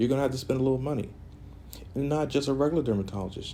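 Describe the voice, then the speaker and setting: A dark, mellow tone with vocal fry and lively intonation. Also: man. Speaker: esthetician / massage therapist. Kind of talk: casual talk to camera during a facial treatment.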